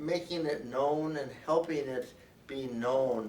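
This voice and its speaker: With an American accent, a man talks fairly slowly at a medium pitch with ordinary pitch variation, amid noticeable background noise and audible room echo. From New Jersey. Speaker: lawyer. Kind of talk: press conference.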